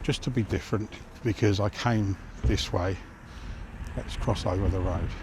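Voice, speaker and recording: The voice is mumbling and somewhat breathy, with long, frequent pauses. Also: man, fairly low pitch for a man, ordinary pitch variation, moderate pace. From southern England. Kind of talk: casual talk to camera. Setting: outdoors.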